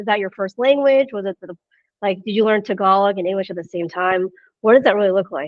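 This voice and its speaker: Very fast and with an American accent, a woman talks at a medium pitch with ordinary pitch variation and big swings in loudness. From United States. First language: Chinese. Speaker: business executive interviewer. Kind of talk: podcast interview.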